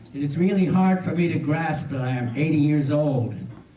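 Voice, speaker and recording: With the room's echo audible and background noise clearly present, a man talks at an even, medium tempo, his pitch moving in a normal way. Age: 80s+. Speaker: birthday celebrant. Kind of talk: reading aloud. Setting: birthday party with audience.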